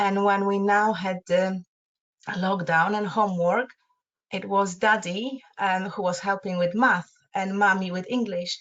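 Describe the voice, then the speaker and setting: A woman speaks with a Polish accent at a fairly slow pace. Her medium-pitched voice stays monotone and flat. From Poland. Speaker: parenting support co-presenter. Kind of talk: advice webinar discussion. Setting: online webinar. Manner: halting, many fillers.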